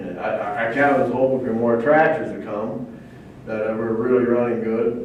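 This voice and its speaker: A man talks at a fairly quick pace in a medium pitch. Audible room echo and noticeable background noise surround him. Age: 70s. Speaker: tractor puller. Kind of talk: interview.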